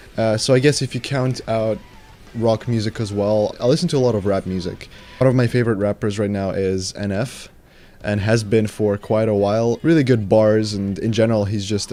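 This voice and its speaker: A man speaks with a Ukrainian accent. His pitch is fairly low and his pace fairly quick. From Ukraine. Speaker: YouTuber, metal music reviewer. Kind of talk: Q&A answering viewer questions. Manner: casual, some hesitations.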